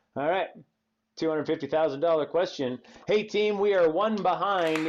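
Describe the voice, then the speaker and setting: Crowd noise is in the background as a man speaks at a moderate pace with ordinary pitch variation. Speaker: bartender and show host. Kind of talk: casual online trivia game. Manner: animated.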